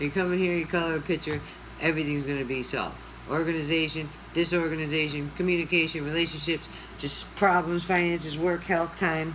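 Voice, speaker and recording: The speaker talks at a very fast pace with fairly even intonation. Audible room echo and noticeable background noise fill the recording. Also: woman. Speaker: coloring video creator. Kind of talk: casual chat while coloring. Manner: chatty, conversational.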